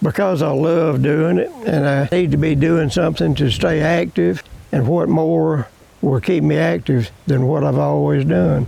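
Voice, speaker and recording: A man with a Louisiana accent at a fairly slow pace, fairly high pitch, very wide pitch swings, and noticeable background noise. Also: very even loudness. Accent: Southern US (Louisiana). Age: 80s+. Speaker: farmer. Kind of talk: interview answer.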